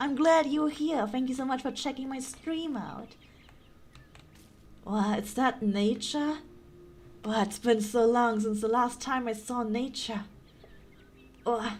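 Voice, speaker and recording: A woman speaks at a high pitch in a German accent, at a fairly slow pace with long, frequent pauses. Audible room echo surrounds her voice. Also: ordinary pitch variation. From Germany. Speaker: gaming streamer. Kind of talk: casual chat. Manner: animated.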